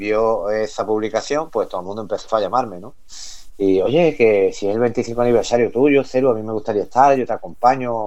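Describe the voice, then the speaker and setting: Delivered at a moderate pace, the speech has ordinary pitch variation and big swings in loudness. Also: man. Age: 40s. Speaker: electronic music MC and DJ. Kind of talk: radio interview. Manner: halting, repeats words.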